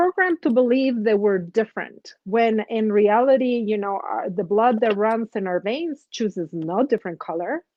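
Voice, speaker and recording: A woman with a non-native accent speaks at a fairly slow pace in a fairly high pitch, with very wide pitch swings. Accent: foreign. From outside the US. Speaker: nurse coach, host. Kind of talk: casual chat.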